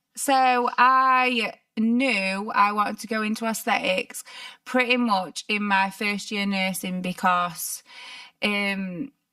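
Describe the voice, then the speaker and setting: With a Yorkshire accent, a woman speaks at a very slow pace. Her fairly high pitch shows ordinary variation. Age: 30s. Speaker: nurse prescriber, podcast co-host. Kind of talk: casual chat. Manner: animated.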